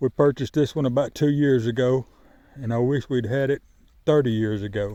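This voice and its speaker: A man with a Southern US accent speaks at a fairly quick pace and medium pitch, his dark, mellow tone carrying fairly even intonation in a dry, close sound with no echo. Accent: rural Southern US. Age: 50s. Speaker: poultry farmer. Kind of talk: casual vlog talk to camera. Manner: halting, with fillers and restarts.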